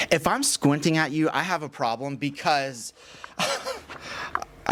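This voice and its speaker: A man speaks fairly slowly with a fairly high pitch. There is noticeable background noise. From Texas, Houston. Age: 40s. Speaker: podcast host. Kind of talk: casual interview. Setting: studio.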